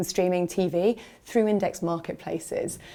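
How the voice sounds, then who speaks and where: Heard on a very clean recording with a silent background, a woman speaks with a British accent. Her tone is dark and mellow, and her pace is moderate. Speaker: ad tech executive. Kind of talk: interview. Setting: industry conference.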